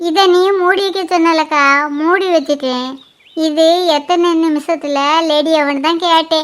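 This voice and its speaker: A cartoonish character voice from a woman, extremely high-pitched, fairly slow and fairly even in intonation. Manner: naive, earnest.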